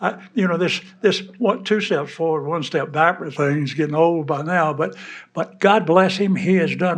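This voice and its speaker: In a Southern US accent, a man speaks at a high pitch with fairly even intonation and audible room echo. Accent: Southern US (Georgia). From US South, Georgia. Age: 80s+. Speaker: war veteran. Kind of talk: speech to an audience. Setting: stage with audience. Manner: halting.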